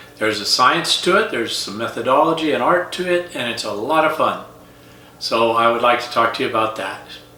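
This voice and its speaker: A man with an American accent speaks fairly quickly at medium pitch, with lively intonation. Noticeable background noise and audible room echo fill the recording. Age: 70s. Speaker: retired teacher, coach and golf instructor. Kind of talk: casual vlog monologue.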